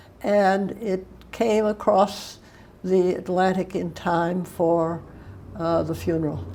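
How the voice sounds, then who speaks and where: A woman speaks at a very slow pace in a medium pitch, her dark, mellow tone delivered with monotone, flat intonation. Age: 90s. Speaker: interviewee sharing memories. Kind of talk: oral history interview.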